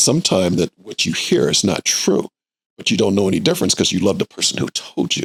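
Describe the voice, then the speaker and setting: A man talks at a very fast pace with an American accent. The sound is dry and close, without echo. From US Midwest, Indianapolis. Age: 60s. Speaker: nonprofit executive director. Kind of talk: podcast interview. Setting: studio.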